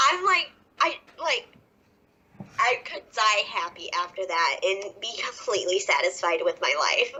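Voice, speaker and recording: The speaker has an American accent and a fairly slow pace. Long, frequent pauses break up the speech. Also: woman. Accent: Southern US, stronger when nervous. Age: 20s. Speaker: professional wrestler. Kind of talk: podcast interview. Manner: stumbling when nervous.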